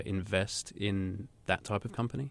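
Using an unremarkable speaking voice, a man talks at a fairly low pitch with fairly even intonation. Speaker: podcast co-host. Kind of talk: interview.

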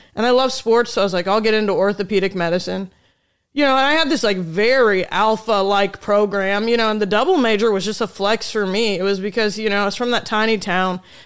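Speaking very fast in a Midwestern US accent, a woman with a medium pitch keeps her loudness very even and shows ordinary pitch variation in a very clean recording with a silent background. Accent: US Midwest. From Indiana, rural. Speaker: stand-up comedian. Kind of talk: casual chat.

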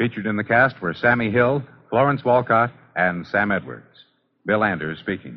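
Speaking at a moderate pace, a man with a fairly low pitch makes big pitch swings.

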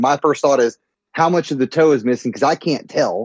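A man talks in a fairly high register. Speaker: friend calling in, father. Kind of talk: casual chat. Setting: phone call. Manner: loud.

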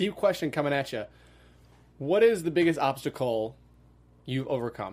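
With an American accent, a man speaks at a moderate pace in a fairly high pitch and lively intonation, on a very clean recording with a silent background. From US Midwest, Wisconsin. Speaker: podcast host. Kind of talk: interview.

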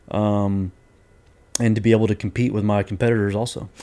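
In a Texan accent, a man speaks with a fairly low pitch, a dark, mellow tone and monotone, flat intonation. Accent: Texan American. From Houston, Texas. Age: 30s. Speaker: business owner. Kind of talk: interview. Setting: on location at his business.

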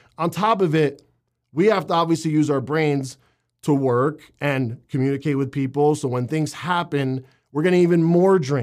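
On a very clean recording with a silent background, a man with a plain, everyday voice speaks at a fairly high pitch and a moderate pace with ordinary pitch variation. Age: 30s. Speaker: fitness podcast host. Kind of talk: solo podcast monologue.

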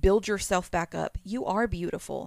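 This woman has an ordinary speaking voice at a medium pitch. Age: 30s. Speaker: podcast co-host's wife. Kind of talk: casual chat.

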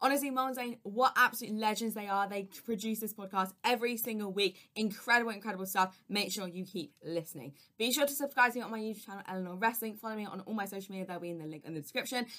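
In an American accent, a woman talks at a very fast pace in a medium pitch with ordinary pitch variation. Her tone is bright and sharp, and her loudness swings widely. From overseas, outside the US. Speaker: wrestling news correspondent. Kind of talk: scripted news recap.

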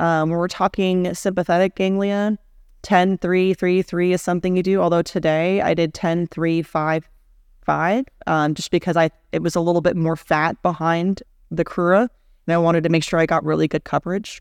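A woman with an American accent, monotone, flat intonation, and a dry, close sound with no echo. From Houston, Texas. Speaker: interventional radiologist. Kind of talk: interview. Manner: fast.

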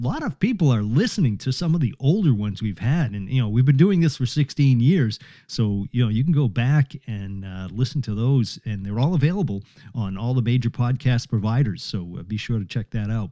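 At a fairly quick pace, a man with a plain, everyday voice speaks at a medium pitch with lively intonation in a very clean recording with a silent background. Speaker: podcast host and interviewer. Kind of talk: podcast interview. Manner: casual, with frequent fillers.

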